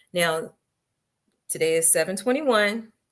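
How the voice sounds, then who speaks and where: This is a woman with a medium pitch and an ordinary speaking voice. She talks at a moderate pace with ordinary pitch variation. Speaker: podcast host. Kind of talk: podcast intro and announcements. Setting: live stream studio. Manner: casual, chatty.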